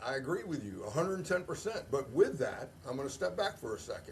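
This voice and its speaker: A man talks in a somewhat breathy voice with an American accent. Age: 60s. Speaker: retired army officer. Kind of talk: casual chat. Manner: animated.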